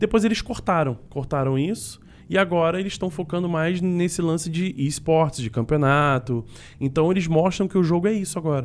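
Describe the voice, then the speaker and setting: In a very clean recording with a silent background, a man with a high pitch speaks at a moderate pace with ordinary pitch variation. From Niterói, Rio de Janeiro state, Brazil. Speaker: esports and game commentator. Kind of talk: casual chat.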